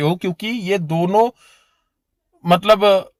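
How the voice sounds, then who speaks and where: In a dry, close sound with no echo, a man with a high pitch speaks at a very slow pace. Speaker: occult practitioner and spiritual teacher. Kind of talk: spiritual tutorial. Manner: informal, repetitive direct address.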